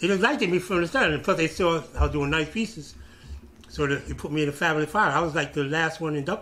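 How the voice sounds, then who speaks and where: Talking at a very fast pace, a man with a New York accent has a fairly high, bright and sharp voice with ordinary pitch variation over light background noise. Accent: New York City. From Brooklyn, New York City; New York City. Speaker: former graffiti writer; interviewee. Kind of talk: oral history interview. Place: office.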